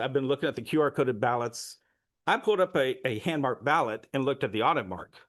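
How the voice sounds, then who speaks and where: At a very fast pace, a man speaks in a fairly high pitch. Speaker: public commenter presenting election data. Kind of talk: public comment presentation.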